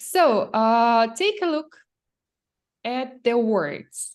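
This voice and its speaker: With a Ukrainian accent, a woman speaks very slowly at a fairly high pitch, her voice swinging very widely up and down. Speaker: English teacher. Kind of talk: language lesson.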